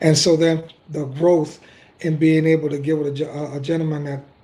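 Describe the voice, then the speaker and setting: Monotone and flat, a man's somewhat breathy voice carries a dark, mellow tone. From Dominican Republic. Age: 40s. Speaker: football coach. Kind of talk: casual chat.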